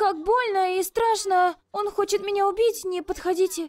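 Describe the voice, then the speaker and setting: Pitched extremely high, the voice is a put-on character voice. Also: moderate pace. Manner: unconvincing, too quiet, told to shout louder.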